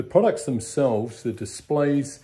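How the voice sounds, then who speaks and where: Ordinary pitch variation and a moderate pace carry a dark, mellow tone. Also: man. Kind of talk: casual vlog chat. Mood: relaxed, cheerful. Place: garage. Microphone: phone near.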